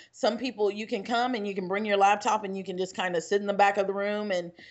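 Talking at a very fast pace, a woman with an American accent keeps a monotone, flat intonation at medium pitch. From Texas, Houston. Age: 20s. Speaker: real estate broker and trainer. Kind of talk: casual chat.

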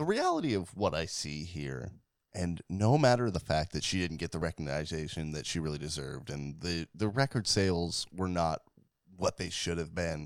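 With a very deep, low pitch, a man talks at a moderate pace using ordinary pitch variation. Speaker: podcast co-host. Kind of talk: casual chat about music history. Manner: casual, rambling, joking.

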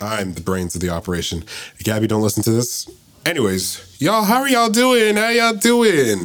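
A man's voice, with ordinary pitch variation, comes through over noticeable background noise. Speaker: podcast co-host. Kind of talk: casual chat between friends.

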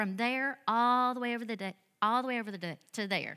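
In a Southern US accent, a woman talks at a fairly quick pace with a bright, sharp tone on a very clean recording with a silent background. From US South. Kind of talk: sermon. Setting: church with audience.

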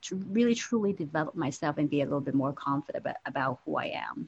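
The woman speaks with lively intonation. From Hong Kong. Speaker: finance advisor and career coach. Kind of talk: interview.

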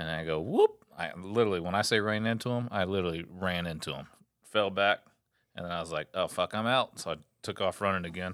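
A man's very deep, low voice, fairly even in intonation and fairly quick in pace, on a very clean recording with a silent background. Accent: Texan. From Texas. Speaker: Coast Guard veteran. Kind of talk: casual chat. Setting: home studio.

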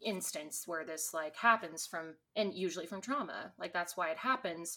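On a very clean recording with a silent background, a woman speaks with an American accent. Her pitch is medium and her tone bright and sharp. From Texas. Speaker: podcast co-host. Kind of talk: casual chat.

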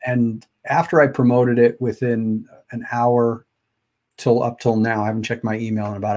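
On a very clean recording with a silent background, a man speaks at a moderate pace in a plain, everyday voice. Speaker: podcast and live stream host. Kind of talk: casual interview chat. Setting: live video stream. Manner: casual, stumbling.

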